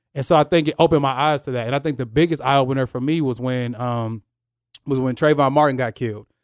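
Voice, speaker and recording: Very fast speech from a man with an American accent, medium in pitch with fairly even intonation, dry and close with no echo on a very clean recording with a silent background. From US Midwest, Kansas (military family). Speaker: church youth ministry director. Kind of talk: casual chat.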